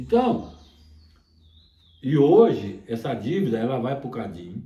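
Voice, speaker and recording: The voice is somewhat breathy with a dark, mellow tone, moving at a very slow pace with lively intonation amid audible room echo. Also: man, medium pitch for a man. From Minas Gerais, Brazil. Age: 70s. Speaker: songbird breeder. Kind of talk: interview. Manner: halting, repetitive.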